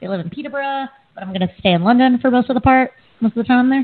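Pitched high, a woman with an American accent speaks with ordinary pitch variation. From US, Delaware. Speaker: podcast co-host. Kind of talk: casual chat.

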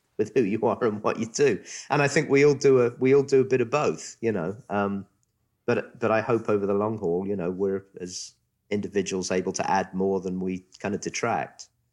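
A man with a southern English accent and ordinary pitch variation, on a very clean recording with a silent background. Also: moderate pace. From southern England. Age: 50s. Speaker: special education school director. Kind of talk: interview.

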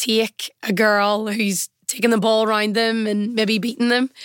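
A woman with a Northern Irish accent speaks at a moderate pace in a fairly high pitch. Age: 20s. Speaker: semi-professional footballer. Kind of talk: interview.

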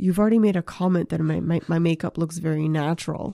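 A woman's fairly low pitch, dark, mellow tone and ordinary pitch variation, in a dry, close sound with no echo. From New Brunswick, Canada (Moncton, French-speaking). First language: French. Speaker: stand-up comedian and screenwriter. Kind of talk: casual chat. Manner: animated, hyper.

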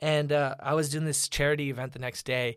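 Someone with an American accent speaks at a fairly quick pace. The recording is very clean, with a silent background. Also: man. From Orlando, Florida. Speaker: musician. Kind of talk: casual interview chat. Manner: animated.

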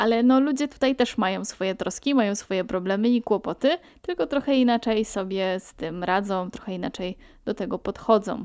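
A woman talks at a fairly quick pace in an ordinary speaking voice, fairly high in pitch with ordinary pitch variation. The recording is very clean and dry, close-up with no echo, over a silent background. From Poland, Pomerania. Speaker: podcaster. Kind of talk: solo podcast monologue.

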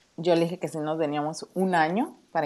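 A woman speaks with a northern Mexican accent. Her pitch is very deep and low, her pace moderate. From Mexico, Tijuana (northern border). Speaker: project manager and mother. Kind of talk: casual chat.

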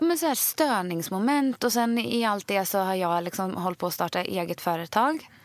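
A woman speaks at a moderate pace with hardly any pauses, her pitch swinging very widely while her loudness stays very even, on a very clean recording with a silent background. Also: medium pitch for a woman. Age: 30s. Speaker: podcast co-host. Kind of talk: casual chat.

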